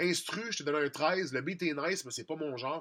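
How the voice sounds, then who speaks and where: With a strong Quebec accent, a man talks at a fairly quick pace in a bright, sharp tone with ordinary pitch variation. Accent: strong Québécois. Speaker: music producer and rap contest judge. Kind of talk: critique of contest entries. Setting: studio. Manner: fast; casual, conversational.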